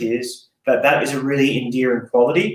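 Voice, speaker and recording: Speaking with an Australian accent, a man keeps a moderate pace. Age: 30s. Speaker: fitness coach and gym owner. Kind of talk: casual podcast interview. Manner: animated, casual.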